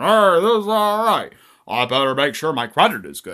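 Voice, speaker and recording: A man uses a high-pitched, put-on character voice at a moderate pace, with very wide pitch swings and big swings in loudness. The recording is very clean, with a silent background. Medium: read story. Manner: casual, bro-ish.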